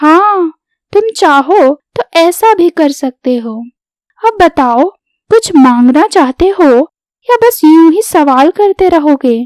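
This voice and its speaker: In a cartoonish character voice, a woman speaks at an extremely high pitch and a fairly slow pace. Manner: brisk, self-assured.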